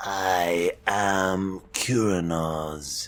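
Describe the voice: Using a gravelly, put-on character voice, a man speaks at a very deep, low pitch.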